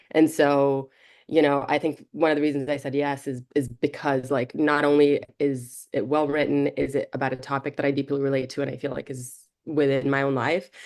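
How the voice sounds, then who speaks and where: A woman's very deep, low voice, monotone and flat in intonation, at a fairly quick pace. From Brazil. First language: Portuguese. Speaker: film director. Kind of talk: interview.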